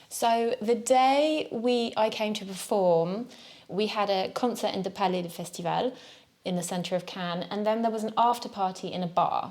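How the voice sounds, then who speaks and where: A woman at a moderate pace, her fairly high pitch moving with ordinary variation. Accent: southern English. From Devon, southwest England. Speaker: jazz musician. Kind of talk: interview.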